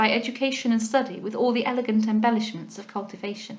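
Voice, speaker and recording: Very fast speech comes from a woman with an English accent. Her intonation is fairly even. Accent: relatively RP English, short a in bath words. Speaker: audiobook reader. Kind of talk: casual commentary; reading aloud. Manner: hesitant, with frequent ums.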